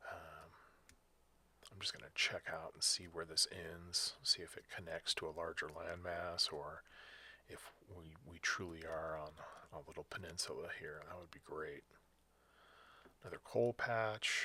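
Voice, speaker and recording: Quiet and calm in tone, the voice moves at a fairly slow pace with long, frequent pauses. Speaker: gaming video creator. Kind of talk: gameplay commentary. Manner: quiet, calm announcer-like; hesitant, many fillers.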